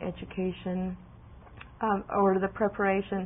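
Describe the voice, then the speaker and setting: A woman speaks with a Spanish accent in a monotone, flat way. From Mexico. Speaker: college student. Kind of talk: interview. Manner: hesitant, many fillers.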